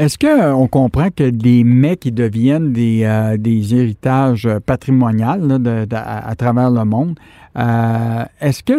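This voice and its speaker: At a very slow pace, a man with a Quebec accent speaks in a medium pitch and a dark, mellow tone, the sound dry and close with no echo. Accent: Québécois French. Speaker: radio host. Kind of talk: radio interview. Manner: hesitant, many fillers and repetitions.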